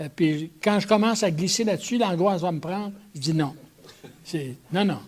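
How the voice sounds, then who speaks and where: This man has a high pitch and lively intonation. He speaks at a fairly slow pace. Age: 80s+. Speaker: theologian. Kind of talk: talk answering audience questions. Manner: halting, many repetitions.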